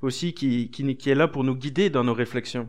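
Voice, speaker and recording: Moderately paced speech from a man, over a quiet background. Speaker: preacher. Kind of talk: sermon, expository Bible study. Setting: church. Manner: conversational, earnest and encouraging; hesitant, with fillers and repeated words.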